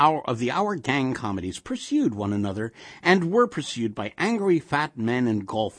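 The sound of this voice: Text read in an unforced reading voice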